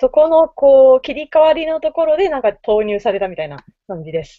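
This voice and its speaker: A woman speaks with very wide pitch swings and big swings in loudness. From Fukuoka, Japan. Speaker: maker community organizer. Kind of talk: casual chat. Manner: halting.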